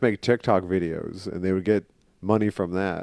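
Recorded very cleanly with a silent background, a man with a Midwestern accent comes through dry and close, with no echo. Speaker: comic book podcast co-host. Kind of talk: casual comedic chat.

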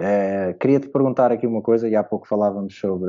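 A man with a European Portuguese accent talks at a fairly quick pace with fairly even intonation. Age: 30s. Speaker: basketball podcast host. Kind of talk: casual interview.

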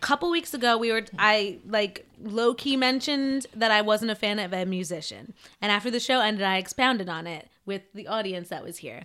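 With hardly any pauses, a woman in a New Jersey accent talks at a fairly high pitch with a bright, sharp tone and big swings in loudness. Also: ordinary pitch variation, fairly quick pace. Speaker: podcast host. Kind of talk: casual chat. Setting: studio.

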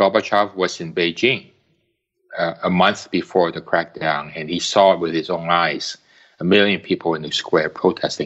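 Here a man speaks with a very deep, low pitch. His pace is moderate. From Hong Kong. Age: 60s. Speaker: community activist. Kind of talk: interview. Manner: halting, many fillers.

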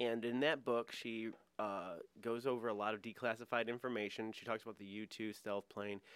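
Using a normal speaking voice, a man talks at medium pitch and a fairly quick pace with fairly even intonation. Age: 30s. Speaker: improv comedian. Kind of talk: casual chat.

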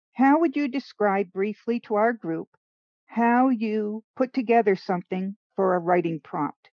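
A woman with a Rhode Island accent, fairly high in pitch, at a fairly slow pace with lively intonation. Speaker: co-host of writing show. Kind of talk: casual workshop chat.

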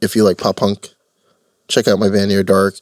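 A man speaks at a fairly low pitch in a flat monotone. The sound is dry and close, with no echo. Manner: joking, laid-back.

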